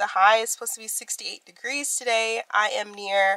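A woman on a dry recording with no echo and a quiet background. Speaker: vlogger. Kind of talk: casual vlog chat. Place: home room. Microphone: phone near.

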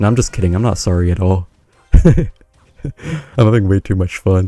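A man's very deep, low voice carries a dark, mellow tone. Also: moderate pace. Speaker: gaming youtuber. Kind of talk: gameplay commentary. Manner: casual, laughing.

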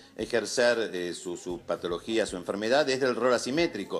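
Male speech, moderately paced, pitch moving in an ordinary way. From Argentina. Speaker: psychologist; guest. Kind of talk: TV interview. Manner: halting. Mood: serious, concerned. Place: home room.

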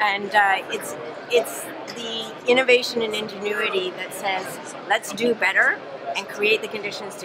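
A woman talks at a moderate pace with ordinary pitch variation over loud background noise. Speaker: politician. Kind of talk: interview answer. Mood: warm, appreciative. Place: hall.

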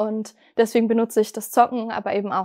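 A woman's fairly high-pitched, monotone, flat delivery against a quiet background. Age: 20s. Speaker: person recovering from gaming addiction. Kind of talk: personal testimony interview. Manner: hesitant with frequent fillers. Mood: calm, reflective, personal. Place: studio.

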